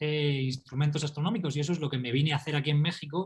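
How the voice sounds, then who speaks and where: The speaker has a Murcian accent and ordinary pitch variation. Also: man. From Spain, Murcia. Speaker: astrophysicist and author. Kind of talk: interview.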